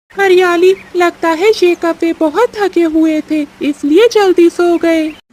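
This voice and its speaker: A cartoonish character voice at an extremely high pitch. It moves at a fairly slow pace with hardly any pauses. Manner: blunt, brusque.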